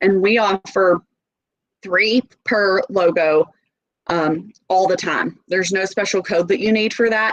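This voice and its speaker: Speaking in a strong Southern US accent, a woman talks at a fairly slow pace and medium pitch, with fairly even intonation and long, frequent pauses. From US South, Nashville. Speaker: sales representative. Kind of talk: sales presentation. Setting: video call.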